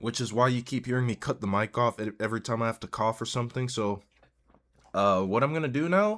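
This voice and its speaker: In a very clean recording with a silent background, a man talks at a very fast pace and a medium pitch, with ordinary pitch variation. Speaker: gaming streamer. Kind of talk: live stream commentary. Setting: live stream. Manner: halting, repeats words.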